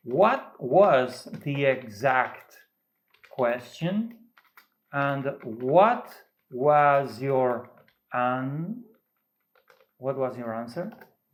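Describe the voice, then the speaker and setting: With a non-native accent, a man speaks at a very slow pace with long, frequent pauses and ordinary pitch variation as audible room echo surrounds him. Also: medium pitch for a man. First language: Spanish. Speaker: AI method developer, tech YouTuber. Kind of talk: tutorial demonstration. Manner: halting.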